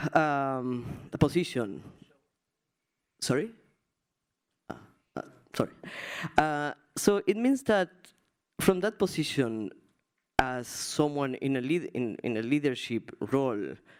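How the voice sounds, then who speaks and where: In a Spanish accent, the speaker moves at a fairly slow pace with long, frequent pauses, captured on a very clean recording against a silent background. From Argentina. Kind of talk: panel discussion.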